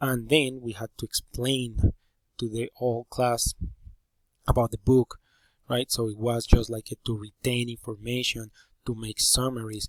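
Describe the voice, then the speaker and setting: A man with a Spanish accent speaks at a moderate pace and medium pitch, in a monotone, flat intonation. The sound is dry and close with no echo, and he leaves long, frequent pauses. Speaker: teacher. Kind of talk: presentation. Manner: halting.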